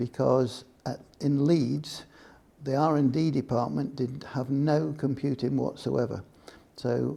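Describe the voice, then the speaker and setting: With an English Midlands accent, a man speaks at a moderate pace in a dark, mellow tone, his medium pitch showing ordinary variation. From England, Nottingham. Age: 70s. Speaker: retired computing industry professional. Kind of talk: oral history interview. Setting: museum.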